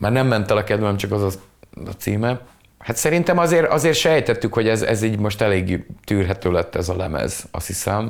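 This man has a plain, everyday voice, pitched fairly low, with lively intonation and a moderate pace. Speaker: musician. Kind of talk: casual chat. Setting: video call.

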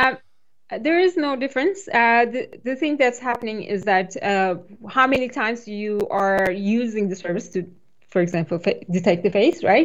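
Speaking with a non-native accent, a woman keeps a moderate pace. Her fairly high pitch moves in very wide swings. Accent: foreign. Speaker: cloud developer advocate. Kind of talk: technical interview explanation.

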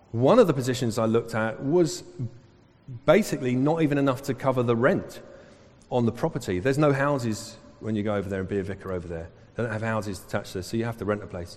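This man talks very fast at medium pitch in a London accent. His intonation is lively. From England, Southall (west London). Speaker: pastor. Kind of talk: sermon. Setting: church.

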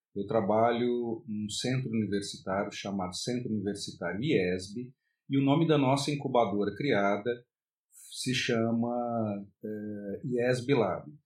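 Very slow male speech at a medium pitch, its pitch moving in an ordinary way. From Brasília, Brazil. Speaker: university professor. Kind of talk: self-recorded course presentation. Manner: hesitant, with fillers.

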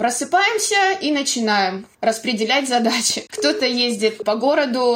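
Amid noticeable background noise, a woman talks at a very slow pace. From Belgorod, Russia. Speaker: volunteer organizer, former photographer. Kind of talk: interview.

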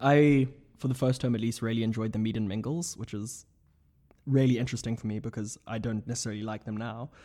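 At a very fast pace, a man talks in a dark, mellow tone at medium pitch with fairly even intonation. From South Africa. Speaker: graduate student. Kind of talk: casual chat.

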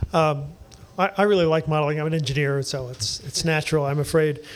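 A man at a very fast pace, his pitch fairly high. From US East Coast. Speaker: engineering professor. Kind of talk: panel discussion before live audience. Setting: basement bar venue with live audience.

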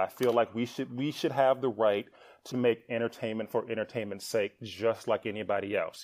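A man talks at medium pitch with an American accent against a quiet background. It is an ordinary speaking voice. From US Midwest, Milwaukee, Wisconsin. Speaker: TV writer and producer. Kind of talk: podcast interview.

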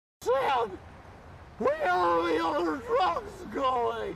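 A man puts on a character voice. It is extremely high-pitched and very slow. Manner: put-on, silly.

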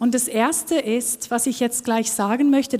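A woman speaks with a Norwegian accent at a fairly high pitch. Her tone is dark and mellow. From Norway. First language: Norwegian (speaking German). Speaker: worship team member. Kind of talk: sermon. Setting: church.

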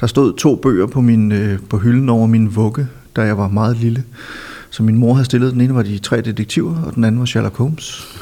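A man keeps fairly even intonation at a moderate pace while noticeable background noise carries on. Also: medium pitch for a man. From Denmark, Silkeborg (Jutland). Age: 50s. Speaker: film critic and author. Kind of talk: casual interview. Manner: hesitant, many fillers.

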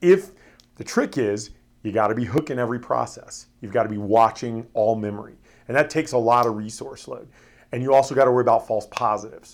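A man speaks very fast with an American accent, medium pitch and ordinary pitch variation. His loudness swings widely. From Florida. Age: 40s. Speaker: security company executive. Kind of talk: interview.

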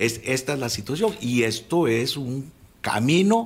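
A man talks at a medium pitch with some vocal fry. His pitch swings very widely. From Costa Rica, Alajuela. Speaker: former attorney general. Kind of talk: radio interview. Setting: radio studio.

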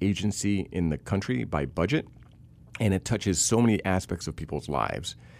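Very deep and low in pitch, a man's voice carries vocal fry and lively intonation at a fairly quick pace. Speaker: civil rights attorney and policy fellow. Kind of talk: interview discussion.

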